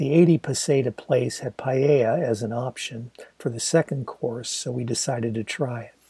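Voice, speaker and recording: At a moderate pace, a man with a medium pitch and a dark, mellow tone sounds somewhat breathy, showing ordinary pitch variation and big swings in loudness in a dry, close sound with no echo. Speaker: author reading own novel. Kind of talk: literary audiobook reading. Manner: measured, expressive storytelling pace; descriptive, wry, intimate narration.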